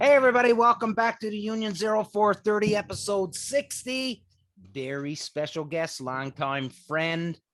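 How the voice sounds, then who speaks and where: A man with a Newfoundland accent speaks at a moderate pace in a high pitch with very wide pitch swings. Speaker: podcast host. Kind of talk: casual chat.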